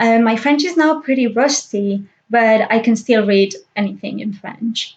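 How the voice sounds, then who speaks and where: At a fairly slow pace, a woman speaks at a fairly high pitch with ordinary variation. Her voice is somewhat breathy. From Spain (Catalan-speaking region). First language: Catalan and Spanish. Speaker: book vlogger. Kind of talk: casual vlog monologue. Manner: hesitant, with frequent fillers.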